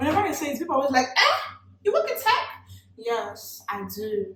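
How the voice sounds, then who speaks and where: A woman with a Nigerian accent, animated in tone, at a fairly quick pace. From Nigeria, Port Harcourt. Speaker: beauty vlogger. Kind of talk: makeup tutorial with casual chat.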